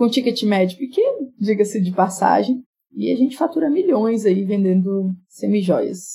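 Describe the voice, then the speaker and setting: Her voice is somewhat breathy with a dark, mellow tone, as this woman speaks at medium pitch and a moderate pace with lively intonation. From Brazil, rural Minas Gerais (Jequitinhonha Valley). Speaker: entrepreneur and business mentor. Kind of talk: casual interview.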